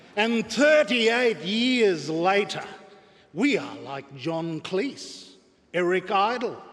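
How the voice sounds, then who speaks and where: A man's high voice makes very wide pitch swings and big swings in loudness at a very slow pace. Noticeable background noise can be heard. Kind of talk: memorial eulogy speech. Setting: public memorial service hall. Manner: formal, measured, oratorical.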